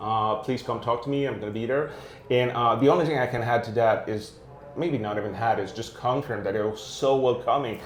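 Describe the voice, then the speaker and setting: A man speaks at a fairly quick pace in a medium pitch with fairly even intonation. Noticeable background noise and audible room echo are present. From Quebec. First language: French. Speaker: tech video series host, developer relations manager. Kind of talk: casual interview chat. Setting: at a tech conference, imperfect setup. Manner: hesitant, many filler uhs.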